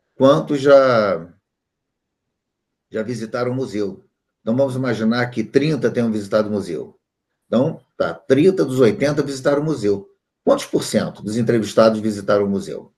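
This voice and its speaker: At a moderate pace with long, frequent pauses, a man speaks at a medium pitch with lively intonation. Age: 60s. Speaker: statistics teacher. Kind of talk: online class.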